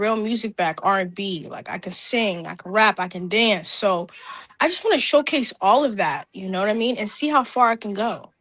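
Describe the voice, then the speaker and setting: A woman with an unremarkable speaking voice talks at a moderate pace, fairly high in pitch, her intonation lively. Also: big swings in loudness. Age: 20s. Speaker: rapper and singer. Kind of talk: interview.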